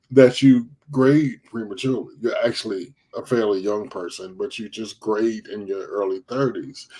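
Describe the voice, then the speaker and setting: A man's dark, mellow tone at a moderate pace. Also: medium pitch for a man, ordinary pitch variation, big swings in loudness. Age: 40s. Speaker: live stream talk show host. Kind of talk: casual chat. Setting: live stream.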